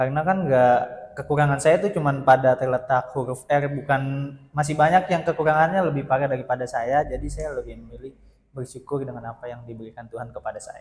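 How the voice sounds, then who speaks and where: A man with a fairly high voice talks very rapidly, his loudness swinging widely while his pitch shifts in a normal way. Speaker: university student, interviewee. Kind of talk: interview.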